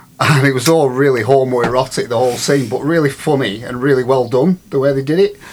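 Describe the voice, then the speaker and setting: A man's medium-pitched voice at a fairly quick pace, with ordinary pitch variation, amid noticeable background noise. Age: 50s. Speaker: recovering conspiracy theorist guest. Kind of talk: casual chat.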